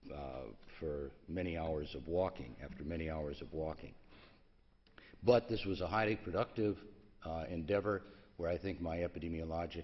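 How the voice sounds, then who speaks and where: A very deep, low male voice at a moderate pace, broken by long, frequent pauses. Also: ordinary pitch variation. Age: 70s. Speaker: pediatric endocrinologist. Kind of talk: conference talk. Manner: halting, many fillers.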